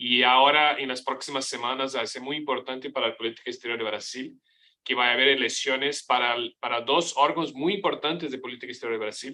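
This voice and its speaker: Speaking at a very fast pace, a man has a medium pitch, a bright, sharp tone and fairly even intonation. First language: Portuguese (speaking Spanish). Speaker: professor, foreign policy expert. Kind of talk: panel presentation. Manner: halting, many fillers and restarts.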